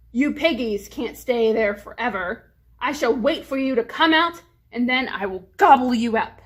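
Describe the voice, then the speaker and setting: A woman's put-on character voice, growling and high-pitched, at a moderate pace. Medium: read story. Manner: growling, menacing.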